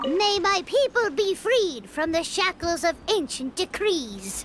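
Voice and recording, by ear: A female-sounding voice does a put-on character voice at an extremely high pitch, with clear background noise behind it. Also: fairly slow pace.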